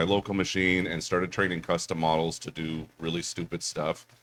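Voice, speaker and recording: A man's speech moves at a moderate pace, his pitch varying in an ordinary way. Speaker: panel moderator and author. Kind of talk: convention panel discussion. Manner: loud.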